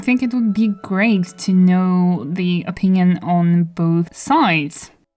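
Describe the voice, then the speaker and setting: This woman talks very slowly, keeping a medium pitch and ordinary pitch variation. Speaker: artist and video creator. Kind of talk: voice-over commentary. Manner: casual, rambling.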